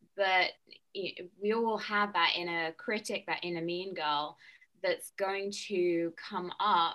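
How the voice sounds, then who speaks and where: A woman speaks at a medium pitch with a bright, sharp tone. Her pace is very slow. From UK. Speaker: nutritionist and wellness coach. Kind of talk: casual interview chat.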